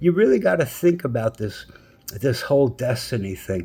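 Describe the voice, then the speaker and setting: Very wide swings mark the pitch of this man's speech. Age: 60s. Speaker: YouTuber. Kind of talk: response video rant. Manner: repetitive, stammering.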